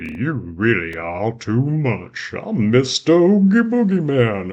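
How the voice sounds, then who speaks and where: Putting on a character voice, a man speaks at medium pitch and a fairly slow pace, with very wide pitch swings. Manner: mocking, sinister.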